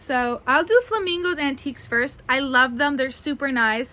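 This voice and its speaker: A woman's high-pitched voice is raised and projected. It has a bright, sharp tone. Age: 20s. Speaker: doll collector and video creator. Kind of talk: casual haul video monologue.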